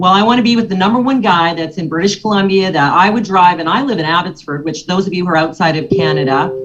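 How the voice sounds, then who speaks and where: A woman talks in a fairly low, somewhat breathy voice. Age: 60s. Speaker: financial services agent. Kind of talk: motivational talk to a business audience.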